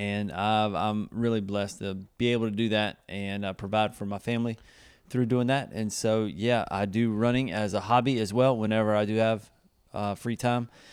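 A man's fairly low pitch and fairly even intonation at a moderate pace, in a very clean recording with a silent background. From US South, South Carolina. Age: 30s. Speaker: youth ministry leader. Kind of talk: casual interview.

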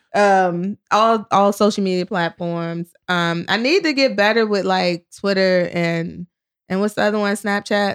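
With a normal speaking voice and an American accent, a woman speaks fairly slowly at a medium pitch with fairly even intonation, recorded dry and close with no echo on a very clean track with a silent background. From US South, Richmond, Virginia. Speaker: comedian. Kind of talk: casual interview chat.

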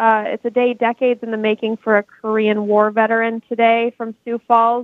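A woman talks in a fairly high pitch with an Upper Midwest accent. Her pace is moderate. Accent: Upper Midwest American. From Minnesota and Wisconsin. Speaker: TV news anchor. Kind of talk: news headlines in chat.

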